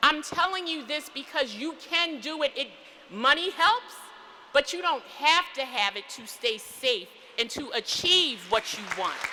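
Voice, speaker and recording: With an American accent, this raised, projected voice speaks at a fairly slow pace in an animated tone, its pitch swinging very widely and its loudness shifting a lot over noticeable background noise. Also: woman, high pitch for a woman. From US Northeast, Philadelphia. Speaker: physician and commencement speaker. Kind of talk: commencement speech. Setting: church.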